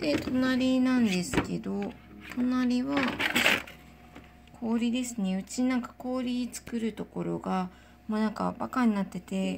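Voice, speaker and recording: Amid noticeable background noise, a woman with a fairly high pitch and a relaxed tone speaks at a very slow pace, her pitch varying in an ordinary way. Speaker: home cook and baker. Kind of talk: casual talk to camera. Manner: relaxed, chatty.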